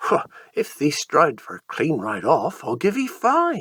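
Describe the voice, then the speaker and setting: A man puts on a character voice in a Devon accent. His pitch is high and his pace fairly slow. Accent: broad rural Devon dialect. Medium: read story.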